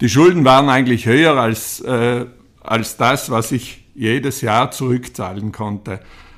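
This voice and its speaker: A man's medium-pitched voice, fairly slow, with ordinary pitch variation, on a very clean recording with a silent background. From South Tyrol, Italy. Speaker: entrepreneur and hotelier. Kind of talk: interview. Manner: halting.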